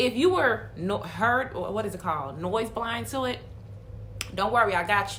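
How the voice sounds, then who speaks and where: A woman against noticeable background noise. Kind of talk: casual comedic voiceover. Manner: playful, chatty.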